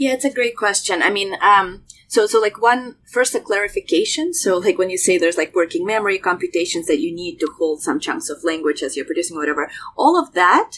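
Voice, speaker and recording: A woman speaks with a Russian accent at a fairly quick pace. Her medium-pitched voice swings very widely in pitch. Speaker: researcher. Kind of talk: interview discussion.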